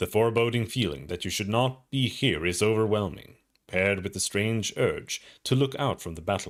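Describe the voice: Plain reading aloud, with ordinary pitch variation, comes across a quiet background.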